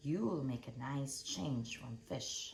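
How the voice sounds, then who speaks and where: A gruff, put-on character voice at a low-to-middle pitch comes through over clear background noise. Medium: read story. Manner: gruff, roaring.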